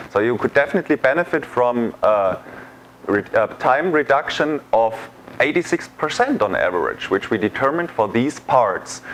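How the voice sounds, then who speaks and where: The speaker has a German accent and lively intonation at a moderate pace, with very even loudness. Noticeable background noise runs underneath. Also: man. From Germany. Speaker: sales engineer. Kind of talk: tutorial. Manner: hesitant, many fillers.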